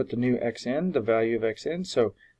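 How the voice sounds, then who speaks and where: A fairly slow voice with lively intonation, recorded dry and close with no echo. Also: man. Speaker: math teacher. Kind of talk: tutorial. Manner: hesitant, many fillers.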